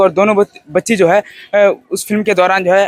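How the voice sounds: The sound is dry and close, with no echo. A man speaks at a high pitch with fairly even intonation.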